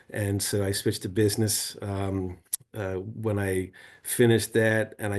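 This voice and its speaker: Against a quiet background, a man speaks in a fairly low, monotone voice with flat intonation. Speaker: renewable energy workshop presenter. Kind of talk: online workshop presentation. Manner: casual, with many fillers.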